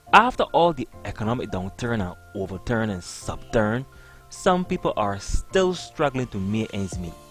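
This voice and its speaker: A man with a Barbadian accent speaks in a playful tone at a moderate pace. Music plays in the background. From Barbados. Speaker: comedic storyteller. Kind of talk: comedic monologue. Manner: playful, humorous.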